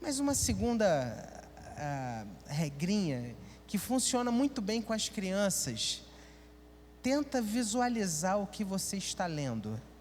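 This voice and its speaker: Amid audible room echo, a man talks very slowly at a high pitch with very wide pitch swings. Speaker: pastor. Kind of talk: sermon. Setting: church.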